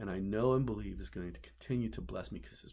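This man has a very deep, low voice with vocal fry. His tone is warm, dark and mellow. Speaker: pastor. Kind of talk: sermon. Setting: office, filmed video message. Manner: earnest, warm preacherly delivery building by repetition ("You're the one"). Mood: earnest, heartfelt. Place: office. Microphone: webcam.

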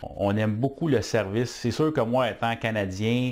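Speaking in a Quebec accent, a man holds a moderate pace and fairly even intonation against a quiet background. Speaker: business owner. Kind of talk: testimonial. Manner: halting, many fillers. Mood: warm, satisfied. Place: office.

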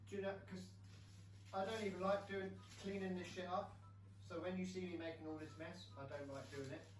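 A man talks at a fairly quick pace. Light background noise and audible room echo can be heard. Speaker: home cook vlogger. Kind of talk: casual vlog chat. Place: kitchen. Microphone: camera far.

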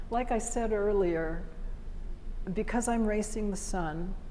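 A woman at a fairly slow pace with fairly even intonation over light background noise. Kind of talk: interview answer. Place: hall. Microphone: lapel.

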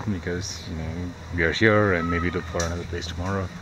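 A man's dry voice with no echo over noticeable background noise. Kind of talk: casual vlog chat. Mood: relaxed, pleased. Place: garden. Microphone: phone near.

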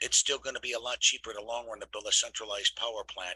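In a dry sound with no echo, a man talks at a very fast pace with an American accent. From US Midwest. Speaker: discussion forum moderator. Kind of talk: meeting moderation. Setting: video call. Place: home room. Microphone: webcam.

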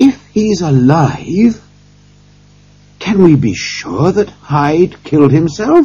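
In a put-on character voice, a man speaks slowly with a dark, mellow tone and a husky, rough edge, his fairly high pitch moving in big swings.

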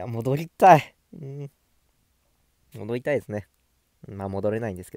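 A man with a medium pitch and a dark, mellow tone talks at a moderate pace with lively intonation, recorded dry and close with no echo in a very clean, silent setting. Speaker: gaming YouTuber. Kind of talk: casual solo vlog monologue. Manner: relaxed, laid-back; frequent fillers and self-talk.

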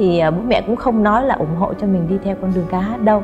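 A woman speaks in a Northern Vietnamese accent. Clear music plays in the background. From Dong Nai, southern Vietnam, family from Thanh Hoa. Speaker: singer. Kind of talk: interview answer. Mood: warm, animated storytelling. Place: studio.

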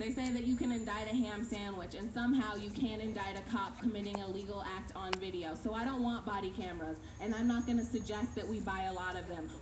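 A woman of medium pitch talks at a very fast pace with hardly any pauses. Her intonation is fairly even, and background noise is noticeable. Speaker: activist. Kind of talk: rally speech. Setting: outdoors.

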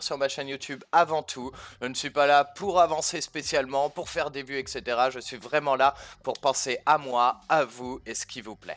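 Delivered at a moderate pace with fairly even intonation, an ordinary speaking voice shows big swings in loudness. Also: man. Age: 20s. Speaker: gaming YouTuber; gaming youtuber. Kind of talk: casual Q&A to camera. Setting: facecam recording. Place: home room. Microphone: headset.

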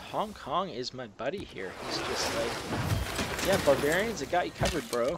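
A man at a fairly high pitch and moderate pace, with very wide pitch swings and noticeable background noise. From Canada. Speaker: video game let's play creator. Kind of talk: gameplay commentary. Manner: casual with many fillers and hesitations.

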